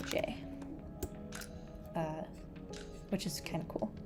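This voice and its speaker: A woman's voice shows ordinary pitch variation while music plays behind her. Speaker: programming tutor. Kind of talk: coding tutorial narration. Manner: drowsy; casual, hesitant.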